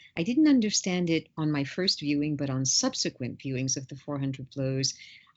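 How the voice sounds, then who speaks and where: The woman's voice is pitched very deep and low. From New York (born in Paris, grew up bilingual). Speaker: film studies professor. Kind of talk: interview. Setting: podcast recording.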